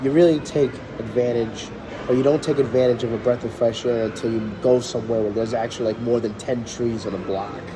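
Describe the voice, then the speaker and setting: A man with a New York accent talks at a very fast pace in a medium pitch with fairly even intonation, over noticeable background noise. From New York City. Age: 20s. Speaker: city IT specialist. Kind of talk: interview answer.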